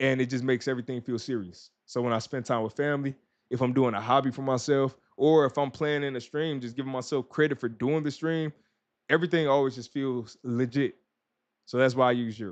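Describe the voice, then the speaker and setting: A man talks at a fairly quick pace in an energetic tone. The background is quiet. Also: medium pitch for a man. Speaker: ADHD and OCPD life coach; streamer, productivity coach. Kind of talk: live stream wrap-up. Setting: live stream on camera. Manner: casual, energetic; fast. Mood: warm, encouraging. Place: home room. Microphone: studio mic.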